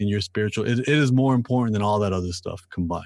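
A normal speaking voice, a man with a Canadian accent talks at a fairly low pitch with ordinary pitch variation over a quiet background. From Canada, Toronto. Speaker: rapper and author. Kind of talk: casual interview chat. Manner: repeats words when starting sentences.

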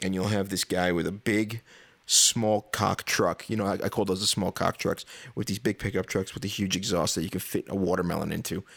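Fairly low in pitch, a man speaks at a fairly quick pace in an American accent with fairly even intonation. The very clean recording has a silent background and a dry, close sound with no echo. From New York. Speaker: podcast host. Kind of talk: casual rant monologue.

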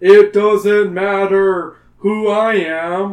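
Using a put-on character voice, a man speaks in a high pitch with monotone, flat intonation.

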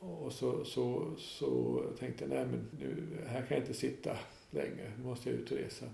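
At a moderate pace, a man talks amid noticeable background noise with audible room echo. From northern Dalarna, Sweden. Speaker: hostel owner. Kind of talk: interview. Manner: halting.

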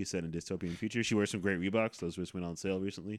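With a very deep, low pitch, this man delivers his words in a monotone, flat way. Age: 30s. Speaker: podcast host. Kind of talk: casual chat.

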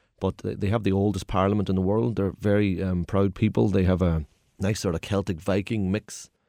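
A man with a Derry accent speaks in a very deep, low pitch with a dark, mellow tone and fairly even intonation. The recording is very clean with a silent background and a dry, close sound with no echo. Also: fairly quick pace. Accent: Northern Irish (Derry). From Northern Ireland, Derry. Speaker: tour guide. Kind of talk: casual chat.

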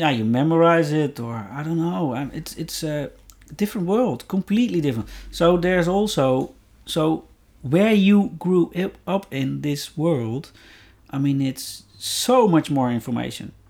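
Speaking with a Dutch accent, a man uses a fairly high pitch and lively intonation at a fairly slow pace. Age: 50s. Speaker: podcast guest, host's father. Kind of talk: casual chat. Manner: halting.

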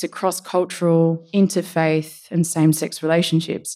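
A woman's fairly low voice with a dark, mellow tone, in an Australian accent. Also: very clean recording, silent background. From Australia, Sydney area. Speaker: storyteller. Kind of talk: storytelling performance.

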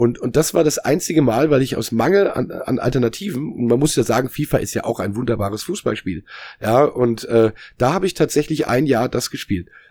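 This unremarkable speaking voice moves at a fairly quick pace with lively intonation. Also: man, medium pitch for a man. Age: 40s. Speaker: musician and former games journalist. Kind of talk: casual chat. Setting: video call.

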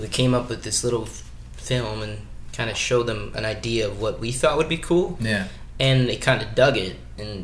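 A man talks at a moderate pace, and there is audible room echo. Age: 20s. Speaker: professional stuntman. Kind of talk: casual chat.

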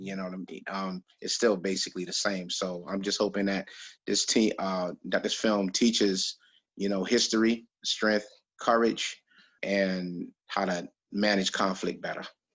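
A man with a New York accent speaks at a fairly slow pace and a fairly low pitch. His intonation is monotone and flat against a quiet background. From New York, Brooklyn (Flatbush). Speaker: documentary filmmaker. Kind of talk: casual interview.

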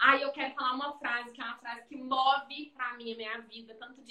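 A woman's voice sits high in pitch with a bright, sharp tone. Her intonation is monotone and flat. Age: 30s. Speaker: physiotherapist and business owner. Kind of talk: casual interview on Instagram live. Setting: video live stream from her clinic.

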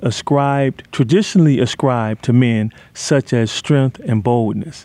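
The man's tone is dark and mellow. He talks at a moderate pace with ordinary pitch variation. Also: dry, close sound with no echo. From US Midwest, Detroit. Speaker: youth mentoring program leader. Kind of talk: interview testimony.

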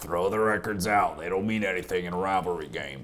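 A man's put-on character voice, very deep and low, raspy, at a fairly quick pace over clear background noise. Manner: odd put-on voice, like a pundit.

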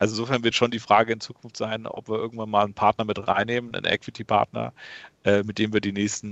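A man speaks at a fairly quick pace. His fairly low voice stays monotone and flat. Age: 30s. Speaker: e-commerce company founder and CEO. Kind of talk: interview. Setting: remote call.

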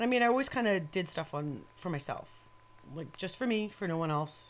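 A woman speaks at a moderate pace in an ordinary speaking voice. Her pitch is fairly low, with lively intonation. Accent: American. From New York. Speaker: metal photographer. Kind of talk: casual chat. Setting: home studio. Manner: profane, joking.

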